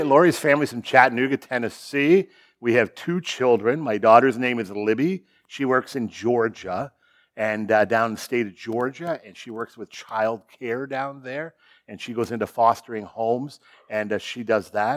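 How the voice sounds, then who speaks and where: A man speaks at a moderate pace and a medium pitch, his pitch varying in an ordinary way and his loudness swinging widely, on a very clean recording with a silent background. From Ontario, Canada (Sarnia). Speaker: guest pastor. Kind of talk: sermon. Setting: church. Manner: laid back.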